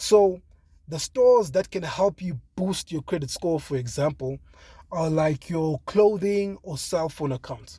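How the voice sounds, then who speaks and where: The man's pitch is high and his tone dark and mellow. He talks at a fairly slow pace. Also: lively intonation. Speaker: money vlogger. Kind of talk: casual explainer vlog.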